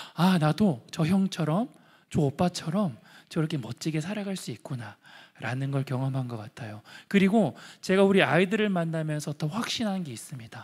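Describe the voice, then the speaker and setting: A fairly high-pitched man at a moderate pace, lively intonation, quiet background. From Andong, North Gyeongsang, South Korea; South Korea. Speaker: social enterprise founder; guest. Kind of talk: testimony. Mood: warm, earnest storytelling. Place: hall. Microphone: handheld.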